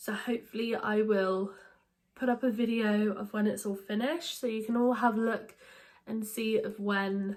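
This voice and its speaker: A woman speaks with a British accent at a moderate pace. Her intonation stays monotone and flat. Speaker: book vlogger. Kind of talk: casual vlog talk. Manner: hesitant, many fillers.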